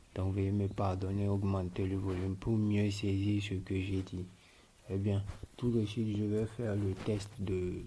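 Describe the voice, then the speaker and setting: Quiet and somewhat breathy, the voice is monotone and flat at a fairly slow pace, with audible room echo. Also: man, fairly low pitch for a man. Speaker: tech tutorial creator. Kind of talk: screen-recorded tutorial. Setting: at home at 3 a.m. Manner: quiet, lowered voice; halting.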